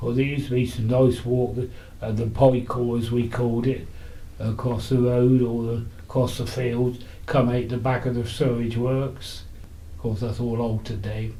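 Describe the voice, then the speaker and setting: With a Buckinghamshire accent, a man speaks in a dark, mellow, somewhat breathy tone at a moderate pace, in a monotone, flat intonation with audible room echo. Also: medium pitch for a man. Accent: old Aylesbury Buckinghamshire. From Buckinghamshire, Aylesbury. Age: 90s. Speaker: elderly local resident interviewed about history. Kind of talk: reminiscing interview. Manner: halting, with false starts.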